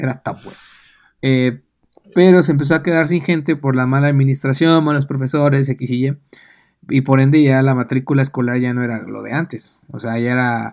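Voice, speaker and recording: At a moderate pace, a man talks in a medium pitch. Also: fairly even intonation. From Mexico City area. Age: 20s. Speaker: podcast co-host. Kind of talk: casual chat.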